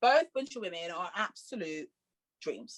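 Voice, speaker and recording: An animated woman with a strong Leicester accent and a medium pitch, in a dry, close sound with no echo. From Leicester, England. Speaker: musical theatre performer. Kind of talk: casual interview chat. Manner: fast.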